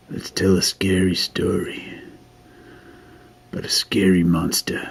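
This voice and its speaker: A man's raspy, put-on character voice, very deep and low in pitch, at a fairly slow pace. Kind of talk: improvised storytelling while drawing.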